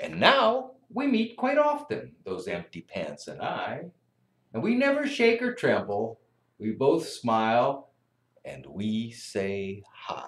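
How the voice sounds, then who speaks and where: The speech moves at a very slow pace, with audible room echo. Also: man. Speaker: teacher or school staff reading to kids. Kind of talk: story reading to children. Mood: warm, gentle, friendly. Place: classroom. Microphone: webcam.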